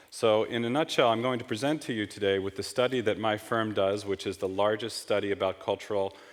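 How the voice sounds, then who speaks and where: With a New York accent, a man talks at a fairly quick pace in a fairly low pitch, his intonation fairly even. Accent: American (New York). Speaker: market researcher / conference speaker. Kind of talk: conference presentation. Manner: fast.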